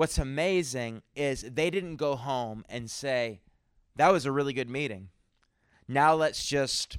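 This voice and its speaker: On a very clean recording with a silent background, a man with a plain, everyday voice talks at a fairly slow pace and medium pitch with ordinary pitch variation. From Canada, New Brunswick. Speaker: travelling preacher. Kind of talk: sermon.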